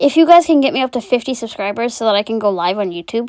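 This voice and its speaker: In a very clean recording with a silent background, a woman speaks. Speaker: fidget collector video creator. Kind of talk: casual vlog chat. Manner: halting.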